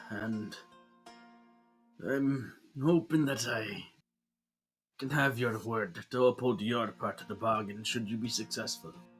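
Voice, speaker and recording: A man performs a put-on character voice, gravelly and raspy at a medium pitch, moving at a fairly slow pace with long, frequent pauses over faint music in the background. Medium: actual play. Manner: gruff, earnest.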